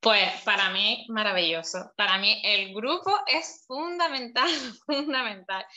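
Very slowly, a woman speaks at a fairly high pitch, her voice swinging very widely up and down. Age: 30s. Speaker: beautician sharing her recovery experience. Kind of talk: interview testimony.

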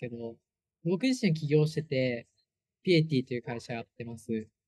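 This man's voice is fairly high in pitch, somewhat breathy, with ordinary pitch variation at a moderate pace. The sound is dry and close, with no echo. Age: 20s. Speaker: startup founder. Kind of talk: casual chat.

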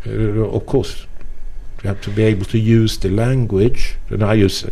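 A man's fairly low voice with a non-native accent, fairly slow and fairly even in intonation.

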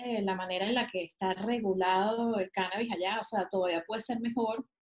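A woman speaks at a moderate pace in a somewhat breathy voice, fairly high in pitch with ordinary variation. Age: 30s. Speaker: cannabis specialist and painter. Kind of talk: casual chat.

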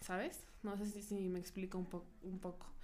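A woman speaks with audible room echo. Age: 20s. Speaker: podcast co-host. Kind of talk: casual chat. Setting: studio.

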